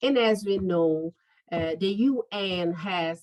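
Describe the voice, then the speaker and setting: In a Brazilian Portuguese accent, a woman speaks with ordinary pitch variation in a dry, close sound with no echo. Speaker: lawyer. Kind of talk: interview.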